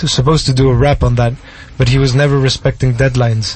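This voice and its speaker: With noticeable background noise behind him, a man speaks at a very fast pace and medium pitch in a monotone, flat intonation. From Mexico, then Barcelona and Switzerland. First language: Spanish and French. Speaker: singer-songwriter. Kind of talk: casual interview chat. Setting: radio studio.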